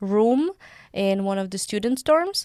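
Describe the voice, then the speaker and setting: A woman's medium-pitched voice with a Czech accent, in a very clean recording with a silent background. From Czech Republic. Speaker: university student. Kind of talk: interview.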